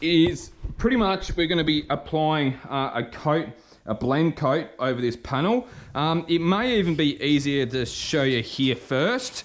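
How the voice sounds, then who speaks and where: With an Australian accent, a man talks at a fairly slow pace. His pitch is fairly high and his intonation lively. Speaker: car painter. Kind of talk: tutorial. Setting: spray booth at workshop. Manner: halting.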